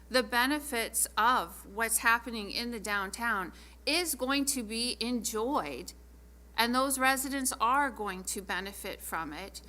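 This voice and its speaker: A woman with vocal fry and a bright, sharp tone speaks fairly slowly at a fairly high pitch, with audible room echo. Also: ordinary pitch variation. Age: 60s. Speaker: city council member. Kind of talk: council meeting debate.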